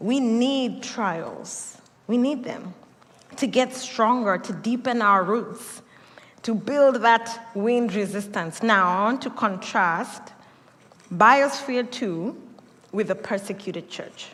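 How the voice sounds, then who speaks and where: Speaking very slowly in a Kenyan accent, a woman uses a fairly high pitch and ordinary pitch variation, with audible room echo around her. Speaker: pastor. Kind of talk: sermon.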